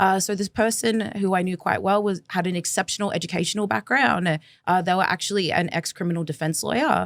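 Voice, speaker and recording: Heard dry and close with no echo, a woman talks at a fairly quick pace with hardly any pauses. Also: medium pitch for a woman, ordinary pitch variation. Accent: Australian. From Australia, Melbourne. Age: 20s. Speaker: former agency recruiter turned activist. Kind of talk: interview conversation.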